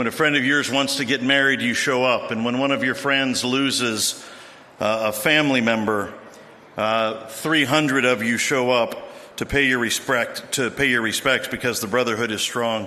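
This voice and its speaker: Noticeable background noise sits behind a man at medium pitch. He keeps a moderate pace and fairly even intonation. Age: 60s. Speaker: BMX veteran speaker. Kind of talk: ceremony speech.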